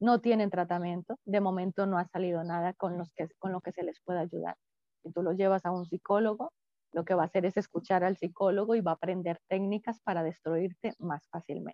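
A woman with a plain, everyday voice speaks at a fairly quick pace, her medium pitch held in fairly even intonation. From Colombia. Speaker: psychologist. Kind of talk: interview.

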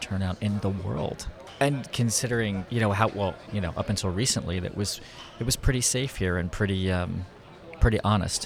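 Over music in the background, a man with a fairly low pitch speaks at a fairly quick pace with ordinary pitch variation. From Philadelphia, US. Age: 50s. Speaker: photographer. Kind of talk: casual interview. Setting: conference venue.

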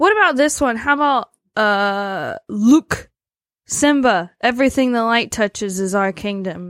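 With a plain, everyday voice, a woman speaks in an American accent at a fairly high pitch and fairly slow pace, her intonation lively, in a dry, close sound with no echo. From US South. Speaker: podcast co-host. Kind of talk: casual chat.

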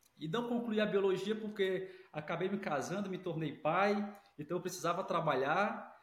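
This man speaks at a moderate pace while noticeable background noise runs behind him. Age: 40s. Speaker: academic director. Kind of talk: casual interview.

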